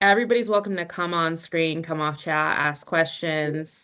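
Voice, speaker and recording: Fairly low pitch from a woman, with ordinary pitch variation and a moderate pace. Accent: American. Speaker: meetup host. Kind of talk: casual chat.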